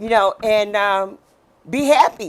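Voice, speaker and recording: On a very clean recording with a silent background, a woman speaks in an animated tone at a fairly slow pace. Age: 60s. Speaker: podcast host. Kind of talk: casual chat.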